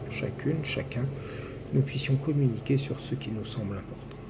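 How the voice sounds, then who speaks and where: Over noticeable background noise and audible room echo, a man talks at a medium pitch and a moderate pace. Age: 60s. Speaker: numerology commentator. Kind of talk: personal video monologue.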